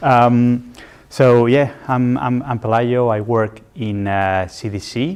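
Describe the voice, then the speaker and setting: This man speaks with a Spanish accent. His pitch variation is ordinary. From Spain. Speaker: development finance specialist, guest lecturer. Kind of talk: lecture.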